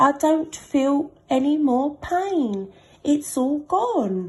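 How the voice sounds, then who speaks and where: A put-on character voice comes through at a high pitch. The pace is very slow. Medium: read story.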